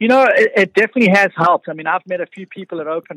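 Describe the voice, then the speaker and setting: A man with a South African accent at a very fast pace, ordinary pitch variation, a bright, sharp tone and a dry, close sound with no echo. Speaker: realtor. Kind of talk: radio interview.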